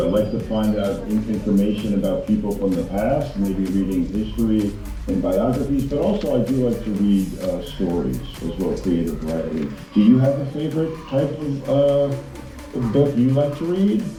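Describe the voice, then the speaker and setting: A man in an American accent with lively intonation, audible room echo and music in the background. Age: 60s. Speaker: guest speaker for school pupils. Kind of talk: casual Q&A with children over video call. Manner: hesitant, with repetitions.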